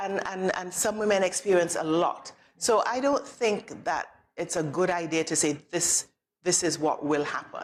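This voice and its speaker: A woman with a fairly low pitch has an unremarkable speaking voice. She talks at a moderate pace with ordinary pitch variation. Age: 50s. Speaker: general practitioner doctor. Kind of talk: TV talk show interview.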